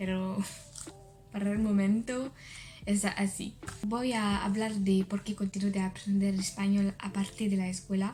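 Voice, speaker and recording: A woman talks in a flat monotone at a fairly slow pace, stopping often for long pauses. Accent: French. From France. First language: French (speaking Spanish). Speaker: language learner vlogger. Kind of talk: video diary. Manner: halting.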